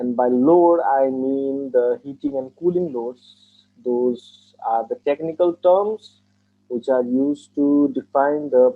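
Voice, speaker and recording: A man speaks with a Nepali accent at a fairly high pitch. His pace is very slow and his intonation fairly even. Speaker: engineer taking mock exam. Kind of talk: speaking test interview.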